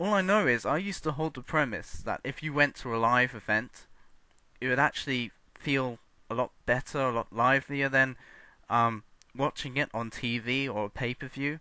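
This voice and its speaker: A man talks at a moderate pace in a bright, sharp tone. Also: medium pitch for a man, ordinary pitch variation, quiet background. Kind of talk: unscripted video response rant. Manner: hesitant, stuttering with random pauses.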